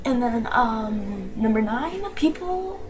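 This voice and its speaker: A quiet voice with an American accent and lively intonation comes through noticeable background noise. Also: woman. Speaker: vlogger. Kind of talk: casual vlog. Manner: animated.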